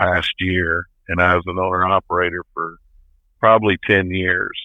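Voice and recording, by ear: A man with a low pitch talks at a moderate pace in a dry, close sound with no echo.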